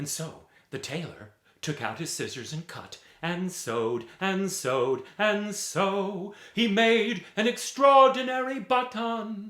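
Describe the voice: A man with a high pitch, a bright, sharp tone, lively intonation and a slow pace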